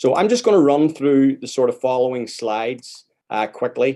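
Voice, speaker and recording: In a Northern Irish accent, a dark, mellow tone moves at a moderate pace. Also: man. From Northern Ireland, outside Belfast. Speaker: immigration lawyer. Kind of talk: panel presentation.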